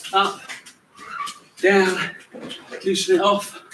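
Amid audible room echo and light background noise, a man with a high pitch speaks very slowly with ordinary pitch variation. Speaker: fitness coach. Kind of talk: workout instruction. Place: garden. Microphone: camera far.

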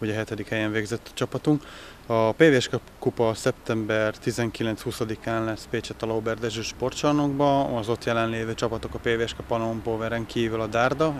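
A man's voice with fairly even intonation, dry and echo-free, over light background noise. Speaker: club official. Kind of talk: interview statements. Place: street. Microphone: handheld.

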